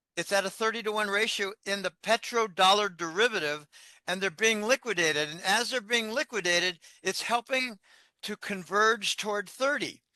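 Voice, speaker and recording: A man speaks in a raised, projected voice with a bright, sharp tone and a high pitch, at a moderate pace. The sound is dry and close with no echo, over a quiet background. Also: ordinary pitch variation. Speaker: financial analyst. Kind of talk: interview.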